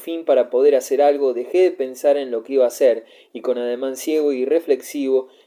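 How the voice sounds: The speaker uses a natural reading voice.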